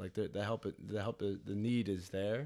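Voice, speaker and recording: A man with a Philadelphia accent speaks at a fairly low pitch with fairly even intonation in a very clean recording with a silent background. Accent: Philadelphia-area American English. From US Northeast (Delaware County, Pennsylvania). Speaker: physical therapist. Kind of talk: casual chat.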